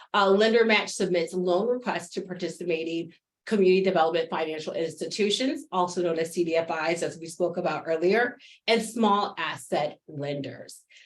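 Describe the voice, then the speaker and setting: A woman talks at a fairly quick pace in a fairly low pitch with ordinary pitch variation. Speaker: webinar presenter on small business funding. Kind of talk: webinar presentation. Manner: fast.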